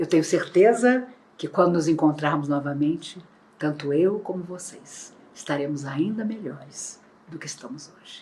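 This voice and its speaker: This woman talks at a fairly slow pace with a very deep, low pitch. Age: 60s. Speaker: spiritist lecturer. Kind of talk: religious lecture. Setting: online, not in person. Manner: formal.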